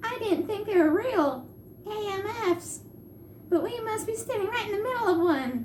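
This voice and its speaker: A squeaky, put-on character voice at extremely high pitch, moderate pace and long, frequent pauses, with clear background noise. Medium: read story. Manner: blunt, impatient.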